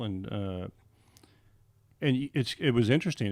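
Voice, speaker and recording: A man speaks with an American accent. His pace is fairly quick. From US West Coast. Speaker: mortgage loan officer. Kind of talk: podcast interview. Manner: fast; halting, many fillers.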